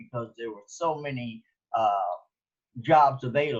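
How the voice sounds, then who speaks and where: Speaking at a moderate pace, a man with a fairly high, somewhat breathy voice shows ordinary pitch variation. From Los Angeles, Compton. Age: 70s. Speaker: sculptor. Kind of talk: interview. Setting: pre-recorded conversation. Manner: halting, many fillers.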